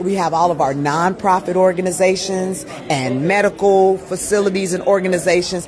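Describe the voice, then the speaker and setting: A woman speaks in an animated tone. Noticeable background noise is present. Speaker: PR agency owner and event host. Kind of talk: live event coverage. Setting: red carpet at a live fashion show.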